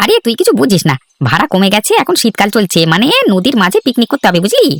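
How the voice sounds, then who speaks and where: In a cartoonish character voice, a man speaks high and fairly quickly with very wide pitch swings, the sound dry and close with no echo. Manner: brash, teasing.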